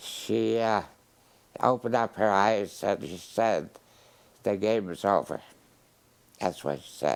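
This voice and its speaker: Fairly low male voice with vocal fry, ordinary pitch variation and a very slow pace. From Poland. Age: 90s. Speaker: Holocaust survivor. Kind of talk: interview. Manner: halting.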